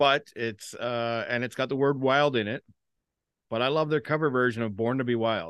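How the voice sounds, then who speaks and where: A man has an ordinary speaking voice at a medium pitch. He keeps a moderate pace with ordinary pitch variation. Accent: Canadian. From Canada, Ontario. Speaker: podcast co-host. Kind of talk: casual chat.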